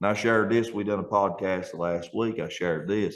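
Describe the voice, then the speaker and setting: A man speaks with an Appalachian accent. His pitch is fairly low. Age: 40s. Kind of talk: casual podcast conversation.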